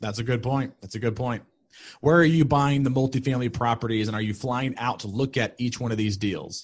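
At a fairly quick pace, a man with a normal speaking voice talks at medium pitch with fairly even intonation against a quiet background. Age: 30s. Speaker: webinar moderator. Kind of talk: webinar Q&A.

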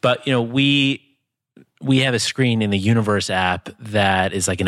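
Dry and close with no echo, this very clean recording with a silent background captures a man with an ordinary speaking voice, fairly low pitch and ordinary pitch variation. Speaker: podcast host and tech entrepreneur. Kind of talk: casual chat.

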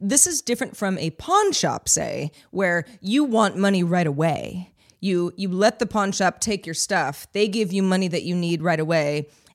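On a very clean recording with a silent background, a woman in a plain, everyday voice talks at a moderate pace and medium pitch, with ordinary pitch variation and hardly any pauses. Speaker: podcast producer. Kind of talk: casual chat.

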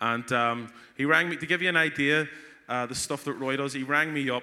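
A man speaks at a medium pitch and a moderate pace. His tone is bright and sharp. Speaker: conference host. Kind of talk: stage introduction.

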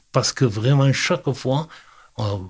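A man speaks in a somewhat breathy voice. His pitch varies in an ordinary way. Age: 70s. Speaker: fishing club president. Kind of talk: interview. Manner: halting.

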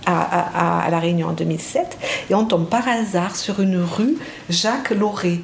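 In a space with audible room echo and noticeable background noise, a woman speaks with a fairly low pitch and ordinary pitch variation. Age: 60s. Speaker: psychiatrist and psychoanalyst. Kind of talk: interview testimony. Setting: host's home. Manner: hesitant, with repetitions.

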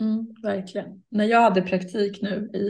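A woman speaks at a medium pitch and a fairly slow pace. Her somewhat breathy voice has monotone, flat intonation. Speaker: podcast co-host. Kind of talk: casual chat. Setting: video call.

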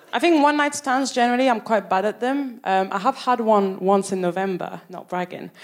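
With a French accent, a woman talks at a fairly quick pace with hardly any pauses. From France, Paris. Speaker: stand-up comedian. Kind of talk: stand-up. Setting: stage with audience.

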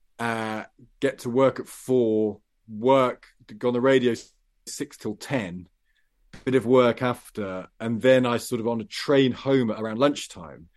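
In an English Midlands accent, a man talks at a medium pitch and a fairly slow pace. His intonation is fairly even, and the background is quiet. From English Midlands, Loughborough. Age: 40s. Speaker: journalist and radio presenter, debut novelist. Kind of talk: interview.

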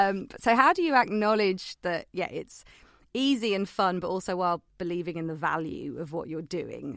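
A woman has a plain, everyday voice at medium pitch. She speaks at a moderate pace with lively intonation. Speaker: podcast host. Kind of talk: casual interview chat.

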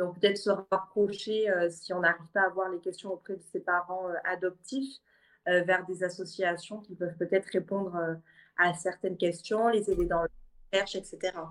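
Flat, monotone intonation from a woman pitched in the middle range, moving at a moderate speed. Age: 20s. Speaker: adoptee. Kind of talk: casual chat.

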